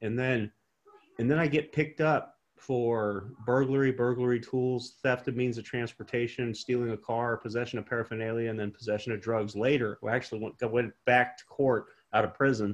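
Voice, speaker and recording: This is a man with a normal speaking voice at a medium pitch. His intonation stays fairly even, and he moves at a fairly quick pace. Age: 40s. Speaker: pastor and prison re-entry program director. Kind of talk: interview.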